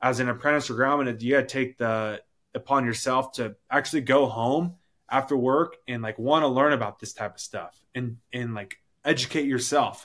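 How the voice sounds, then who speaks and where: A man with an ordinary speaking voice and an American accent, medium pitch, moderate pace and fairly even intonation, in a very clean recording with a silent background. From rural Washington State, US. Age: 20s. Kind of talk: interview. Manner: casual.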